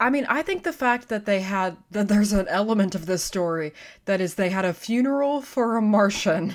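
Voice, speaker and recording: Using a normal speaking voice, a woman talks at a fairly quick pace and a medium pitch with lively intonation. The recording is very clean, with a silent background. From Texas. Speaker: paranormal podcast co-host. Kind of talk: casual chat.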